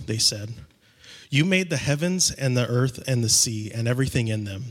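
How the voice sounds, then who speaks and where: This is a plain, everyday voice from a man. He talks at a moderate pace with ordinary pitch variation. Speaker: scripture reader. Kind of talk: reading aloud. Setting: church.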